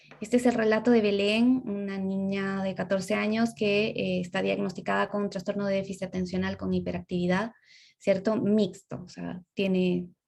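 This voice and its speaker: Her delivery is fairly even in intonation, moderate in pace, and somewhat breathy, with a medium pitch for a woman. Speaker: speech therapist lecturer. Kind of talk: lecture.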